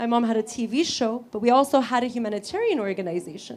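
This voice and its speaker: Animated in tone, a speaker with an American accent moves at a fairly quick pace over noticeable background noise. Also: woman. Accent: Egyptian accent noticed by others. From California, US. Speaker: human rights lawyer. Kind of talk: speech.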